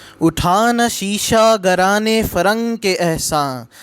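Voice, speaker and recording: A man speaking with lively intonation over music in the background. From Pakistan. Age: young. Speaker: poetry reciter. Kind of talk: poetry reading.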